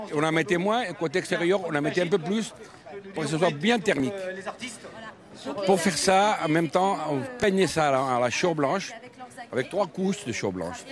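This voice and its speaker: A high-pitched man speaks with long, frequent pauses. Noticeable background noise runs underneath. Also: ordinary pitch variation, moderate pace. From Ebro delta, Catalonia, Spain. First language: Catalan or Spanish (speaking French). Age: 70s. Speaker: traditional boatman and craftsman. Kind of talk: interview.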